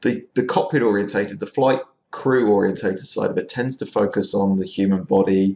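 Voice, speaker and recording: Low-pitched for a man, this voice has a dark, mellow tone. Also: ordinary pitch variation, fairly quick pace. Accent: English. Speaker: university lecturer. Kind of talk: recorded lecture. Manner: casual, informal; hesitant, many fillers.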